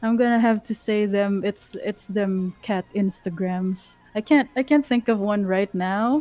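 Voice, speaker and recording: A woman speaks at a fairly slow pace with a non-native accent, her pitch medium and its variation ordinary, with hardly any pauses. The sound is dry and close with no echo, and music plays in the background. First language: not English. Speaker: VTuber. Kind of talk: casual chat.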